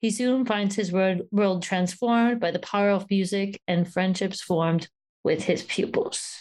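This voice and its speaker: A woman speaks at a fairly slow pace in a medium pitch with an enthusiastic tone. Her loudness stays very even on a very clean recording with a silent background. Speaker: podcast co-host. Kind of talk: casual film discussion. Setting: early morning call.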